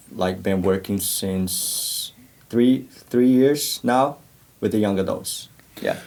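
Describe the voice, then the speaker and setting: Speaking very slowly with long, frequent pauses, a man with a Portuguese accent uses ordinary pitch variation. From Brazil. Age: 30s. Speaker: church youth worker. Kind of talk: podcast interview.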